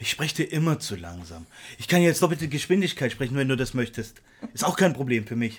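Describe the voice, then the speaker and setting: The pitch swings very wide. The pace is fairly quick. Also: man, medium pitch for a man. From Saxony, eastern Germany. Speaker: podcast co-host. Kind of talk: casual chat. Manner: hesitant, many filler sounds.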